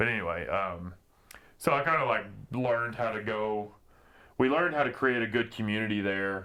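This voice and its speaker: A loud voice with an American accent and a bright, sharp tone speaks at a moderate pace with ordinary pitch variation. Long, frequent pauses break it up, and room echo is audible. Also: man, medium pitch for a man. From southeast Oklahoma. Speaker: gym owner. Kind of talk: casual chat. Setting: podcast interview. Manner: animated.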